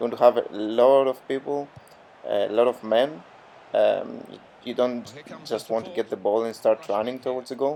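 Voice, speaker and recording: The speaker has a non-native accent and a moderate pace. Pitch varies in an ordinary way, while loudness swings a lot. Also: man, medium pitch for a man. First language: not English. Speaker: gaming youtuber. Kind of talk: gameplay commentary tutorial. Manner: hesitant, many fillers.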